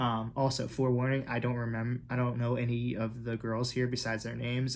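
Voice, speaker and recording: A man's somewhat breathy voice at a medium pitch. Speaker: K-pop reaction YouTuber. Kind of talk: video reaction commentary. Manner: animated, many fillers; fast.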